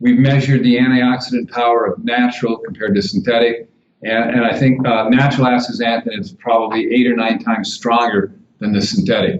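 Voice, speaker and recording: Speaking fairly quickly, a man uses an ordinary speaking voice at medium pitch with ordinary pitch variation. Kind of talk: interview answer.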